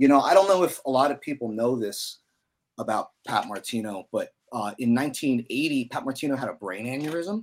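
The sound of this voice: A man talks at a fairly quick pace and medium pitch with lively intonation. His voice has a slightly husky edge.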